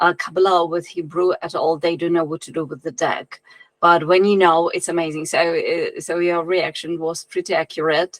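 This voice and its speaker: At a moderate pace, a woman with a non-native accent speaks in a flat monotone at a fairly low pitch. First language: not English. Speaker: occult writer and musician. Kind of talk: interview. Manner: halting.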